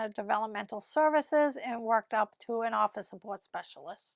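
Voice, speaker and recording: The voice has a Boston accent. Its pace is moderate. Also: woman, dry, close sound with no echo, very clean recording, silent background. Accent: Boston accent, non-rhotic. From Massachusetts, Winthrop near Boston. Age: 50s. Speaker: office worker, interviewee. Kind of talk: interview. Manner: calm, quiet.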